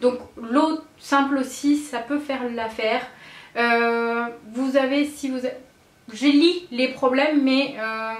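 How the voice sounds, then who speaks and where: A woman's high voice at a very slow pace with fairly even intonation and long, frequent pauses, audible room echo and music in the background. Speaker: beauty vlogger. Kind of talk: casual vlog tutorial. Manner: hesitant, many fillers.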